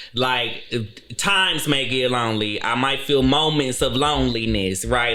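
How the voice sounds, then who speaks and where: A man's medium-pitched voice with ordinary pitch variation, audible room echo and music in the background. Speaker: podcaster and YouTube show host. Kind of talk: casual chat. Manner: animated.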